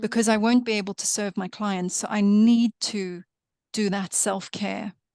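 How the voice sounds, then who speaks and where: A woman's medium-pitched, monotone voice with flat intonation, at a moderate pace, in a dry, close sound with no echo and a quiet background. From South Africa. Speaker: Reiki master and animal healer. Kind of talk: podcast interview answer.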